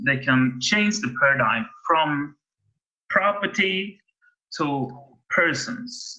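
A man with a Swedish accent, a bright, sharp tone, and very wide pitch swings. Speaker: podcast host. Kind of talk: interview. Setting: video call. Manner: halting.

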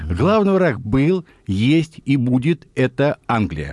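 The sound is dry and close with no echo as a man speaks. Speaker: military historian, retired colonel. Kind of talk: radio interview. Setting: studio. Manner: animated.

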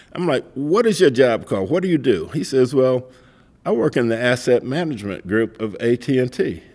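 Lively intonation marks this man's medium-pitched voice with an American accent. He talks at a fairly quick pace, with vocal fry. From US South, Mississippi. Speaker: real estate developer. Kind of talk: interview.

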